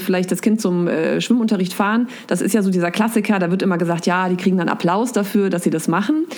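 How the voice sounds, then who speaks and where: Dark, mellow tone from a woman at medium pitch, her pitch varying in an ordinary way. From central Hesse, Germany. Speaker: biology teacher and blogger. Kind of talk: casual interview. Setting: video call.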